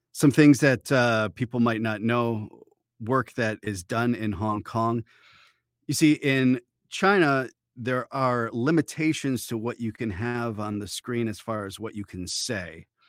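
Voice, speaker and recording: At a fairly slow pace, a man talks at medium pitch with ordinary pitch variation. The recording is very clean, with a silent background and a dry, close sound with no echo. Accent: American. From Michigan, Detroit suburbs. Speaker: voice actor. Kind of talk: interview. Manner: casual, hesitant with fillers.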